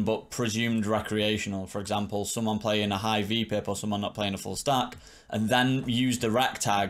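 The speaker holds a fairly even intonation at a moderate pace. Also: man. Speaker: poker coach streamer. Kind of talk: commentary. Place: home room.

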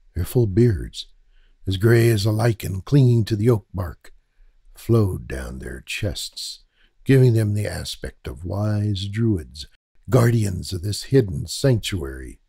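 Speaking very slowly, a man uses a fairly low pitch and lively intonation in a dramatic tone. His voice is dark, mellow and somewhat breathy. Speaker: audiobook narrator. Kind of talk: literary audiobook narration. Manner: measured, dramatic storytelling delivery, formal and atmospheric.

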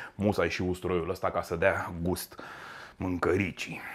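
A man speaks over light background noise. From Romania. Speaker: chef; cooking show host. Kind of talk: cooking tutorial. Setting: home kitchen. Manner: animated. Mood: warm, chatty. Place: kitchen.

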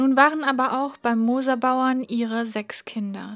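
Very slow speech from a woman, with fairly even intonation. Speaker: reader. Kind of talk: audiobook reading.

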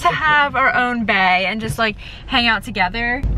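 A woman's voice with a dry sound and no echo, amid noticeable background noise. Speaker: vlogger. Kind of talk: casual vlog chat. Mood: cheerful, laughing. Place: car. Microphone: phone near.

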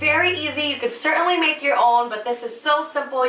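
Music plays in the background as a woman speaks in a raised, projected voice, her words echoing audibly off the room. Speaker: cooking show host. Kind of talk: tutorial. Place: kitchen.

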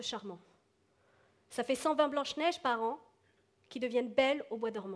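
Her pitch high, a woman speaks at a moderate pace with ordinary pitch variation. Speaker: stand-up comedian. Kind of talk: stand-up comedy routine. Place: stage. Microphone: headset.

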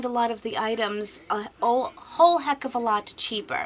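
Light background noise runs under a woman's voice. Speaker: beauty vlogger. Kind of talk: casual vlog chat. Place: home room. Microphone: webcam.

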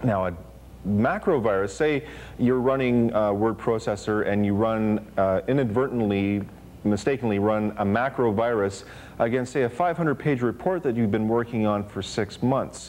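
A man speaks at a moderate pace with ordinary pitch variation. His loudness stays very even throughout. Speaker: TV show co-host. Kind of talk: lecture. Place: studio. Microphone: lapel.

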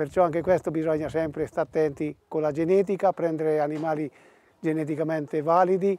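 The man's fairly high voice has a dark, mellow tone and monotone, flat intonation, and the sound is dry with no echo. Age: 60s. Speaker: cattle breeder. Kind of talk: TV interview. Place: farm machine.

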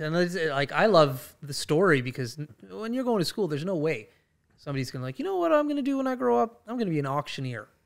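Against a quiet background, the speech rushes at a very fast pace with very wide pitch swings. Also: man, fairly high pitch for a man. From Fort McMurray, Alberta, Canada. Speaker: podcast host. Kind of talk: interview question, casual conversational talk. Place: studio. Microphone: studio mic.

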